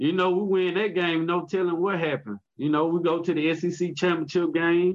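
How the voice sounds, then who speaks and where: With a Southern US accent, the speaker keeps a very even loudness, fairly even intonation, a moderate pace and hardly any pauses. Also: man, high pitch for a man. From Mississippi. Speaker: former college football player. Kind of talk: interview.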